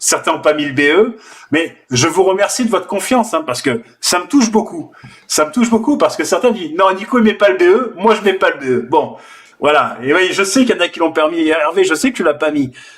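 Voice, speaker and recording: Speaking with a slight southern French accent, a man uses lively intonation and a high pitch at a moderate pace. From southern France. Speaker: forex trader and trading teacher. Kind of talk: live trading session with viewers. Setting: live stream on video call and online video. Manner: casual and animated.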